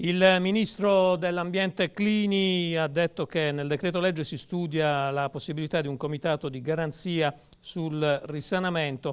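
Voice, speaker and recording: Speaking at a moderate pace, a man with an unremarkable speaking voice uses a fairly high pitch with ordinary pitch variation. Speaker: TV news talk host. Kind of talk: TV news talk show hosting and interviewing. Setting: TV studio. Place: studio. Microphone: lapel.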